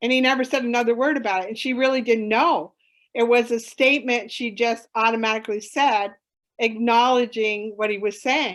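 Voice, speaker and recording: Against a quiet background, a woman with an unremarkable speaking voice talks at a fairly quick pace, fairly high in pitch, with fairly even intonation. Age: 60s. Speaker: conservation educator and summit presenter. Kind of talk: Q&A session at online conference.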